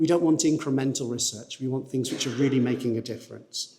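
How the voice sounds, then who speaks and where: This man has a northern English accent and a fairly high pitch. His tone is dark and mellow, with fairly even intonation. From northern England. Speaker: research funding agency representative. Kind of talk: presentation to conference audience. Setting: conference hall with audience. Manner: fast.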